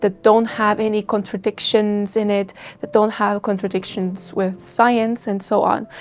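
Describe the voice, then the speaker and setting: A woman at a medium pitch, flat and monotone in intonation, at a moderate pace. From Estonia. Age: 20s. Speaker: university student, convert interviewee. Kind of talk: interview testimony. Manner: hesitant, with fillers.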